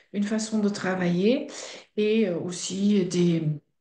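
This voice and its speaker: With a slight Belgian accent, a woman speaks at a very slow pace and medium pitch, her dark, mellow tone and fairly even intonation carried by audible room echo. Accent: slight Belgian-Dutch accent in French. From Belgium (Flemish) and Netherlands. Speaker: fasting centre director. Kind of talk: interview.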